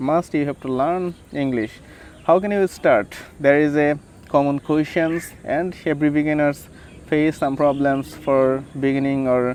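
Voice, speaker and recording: A man's fairly high voice with a Bengali accent, fairly slow pace and fairly even intonation. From Bangladesh. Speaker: English tutor vlogger. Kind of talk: casual vlog advice. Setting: outdoors by a river. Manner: halting, many fillers.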